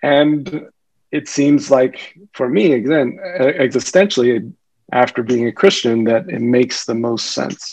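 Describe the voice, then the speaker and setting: An ordinary speaking voice from a man with an American accent, medium in pitch. He speaks at a fairly slow pace with ordinary pitch variation. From US. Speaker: physician. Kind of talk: casual chat.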